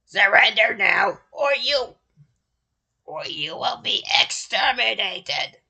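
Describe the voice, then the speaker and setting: In a put-on, robotic character voice, this speaker talks at a fairly slow pace with a fairly high pitch. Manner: menacing, commanding.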